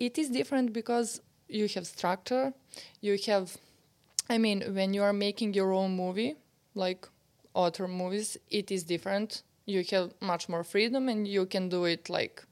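The speaker has a Serbian accent and ordinary pitch variation. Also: woman, medium pitch for a woman, moderate pace, very even loudness. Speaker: novelist. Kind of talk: interview conversation. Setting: old house on a residency.

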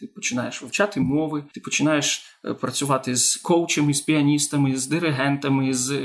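A man speaks with a fairly high pitch and fairly even intonation. Noticeable background noise runs underneath. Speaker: opera singer. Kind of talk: interview.

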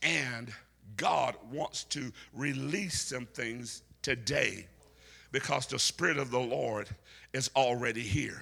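A man's medium-pitched voice, bright and sharp in tone, with vocal fry, ordinary pitch variation, a very slow pace and long, frequent pauses. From US South. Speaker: preacher. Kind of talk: sermon to a live congregation, with call-and-response. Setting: church. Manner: animated, loud, rousing; builds to a shout and prompts the crowd to answer; humorous and playful, with laughs and asides.

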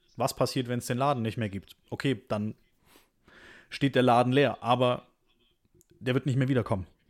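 A man at a medium pitch talks at a moderate pace, with long, frequent pauses. His intonation is fairly even, on a very clean recording with a silent background. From Stuttgart, Swabia, Germany. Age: 20s. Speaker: podcast co-host. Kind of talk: casual chat.

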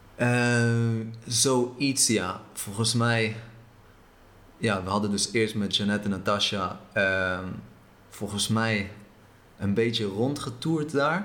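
With audible room echo, a man speaks at a very slow pace, leaving long, frequent pauses, his loudness very even and his pitch variation ordinary. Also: medium pitch for a man. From Israel, moved to the Netherlands at eight. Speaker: traveller. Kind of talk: interview.

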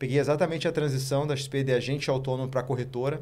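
The intonation is fairly even. A man speaks with a medium pitch. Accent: southern Brazilian. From Rio Grande do Sul, Santa Maria. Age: 30s. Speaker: investment firm co-founder. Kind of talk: interview.

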